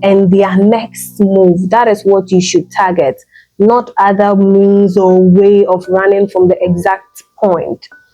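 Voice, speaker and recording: A woman speaks at a very slow pace in a medium pitch, with music playing in the background. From Ghana. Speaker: vlogger and podcaster. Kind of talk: motivational self-improvement talk to camera.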